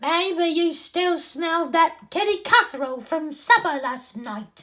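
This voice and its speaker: In an extremely high pitch, a man puts on a character voice and talks at a fairly slow pace. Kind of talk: children's story read-aloud.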